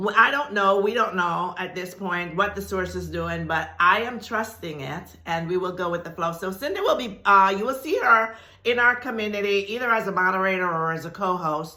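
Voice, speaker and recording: In an animated tone, a woman with a medium-pitched voice speaks at a moderate pace, with noticeable background noise and audible room echo. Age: 70s. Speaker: spiritual teacher. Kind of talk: video announcement to viewers.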